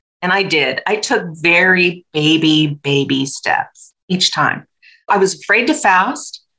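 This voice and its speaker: A woman speaks at medium pitch in a bright, sharp tone. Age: 60s. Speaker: health coach, retired nurse. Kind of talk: podcast interview.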